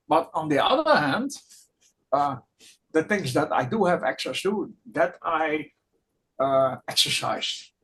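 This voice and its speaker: The speaker has a non-native accent and a fairly slow pace. Long pauses come often. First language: not English. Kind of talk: group discussion. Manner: halting.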